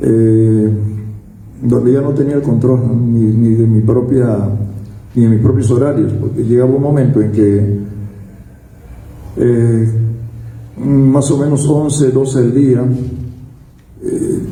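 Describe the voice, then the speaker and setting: A man speaks very slowly in a medium pitch with fairly even intonation, leaving long pauses often. Noticeable background noise and audible room echo fill the recording. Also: very even loudness. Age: 60s. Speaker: recovered drug addict giving testimony, former radio worker. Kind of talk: personal testimony. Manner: halting, with frequent fillers and repetitions.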